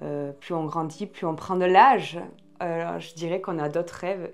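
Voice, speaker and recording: A woman speaks at a fairly slow pace in a very deep, low voice with fairly even intonation, music playing in the background. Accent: southwestern French. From southwestern France, Marmande. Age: 20s. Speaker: podcast host and former hairdresser. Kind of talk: casual Q&A interview. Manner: casual, many filler hesitations.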